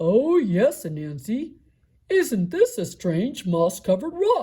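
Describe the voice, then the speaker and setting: The pace is fairly slow. The voice is a put-on character. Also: female-sounding voice, fairly high pitch for a woman. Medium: read story.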